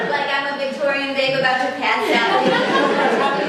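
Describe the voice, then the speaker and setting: A woman uses a raised, projected voice with high pitch at a moderate pace. Noticeable background noise runs behind her. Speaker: comedian, story slam storyteller. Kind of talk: live storytelling at a story slam, comedic. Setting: live show recorded in front of an audience.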